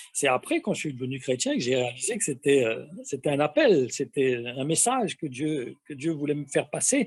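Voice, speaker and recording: In a very clean recording with a silent background, a man with a fairly high pitch and a somewhat breathy voice speaks at a moderate pace, using ordinary pitch variation and hardly any pauses. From metropolitan France. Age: 60s. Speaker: testimony guest. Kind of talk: testimony. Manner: halting, many hesitations.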